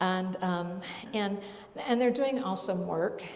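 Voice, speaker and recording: The speech moves at a moderate pace. Room echo is audible, and background noise is noticeable. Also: woman. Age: 60s. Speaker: choir singer telling her life story. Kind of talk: personal testimony to a group. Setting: church hall before choir rehearsal. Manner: halting, many fillers and restarts.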